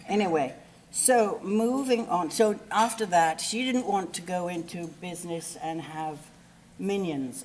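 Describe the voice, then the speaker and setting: A woman speaks with an English accent at a fairly slow pace. Her intonation is lively. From England. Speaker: eulogy speaker, friend of the deceased. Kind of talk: eulogy. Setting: memorial service. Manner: animated; halting.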